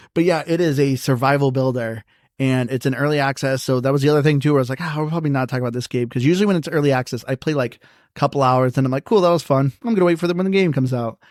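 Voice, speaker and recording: In a very clean recording with a silent background, a man with a fairly high pitch talks very fast with ordinary pitch variation. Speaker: gaming podcast host. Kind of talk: casual chat. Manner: mumbling.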